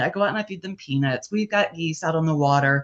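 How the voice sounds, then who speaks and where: A woman's fairly low voice at a fairly quick pace, an ordinary speaking voice with ordinary pitch variation. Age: 60s. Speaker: author. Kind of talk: casual chat.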